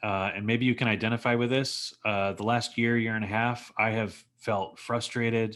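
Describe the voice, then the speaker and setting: A man with a Texas accent at a moderate pace, medium in pitch, on a very clean recording with a silent background. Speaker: former plumber pitching a business project. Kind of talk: sales pitch.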